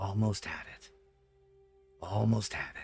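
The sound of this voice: A man uses a put-on character voice that sounds shaky. He speaks at a fairly slow pace with music in the background.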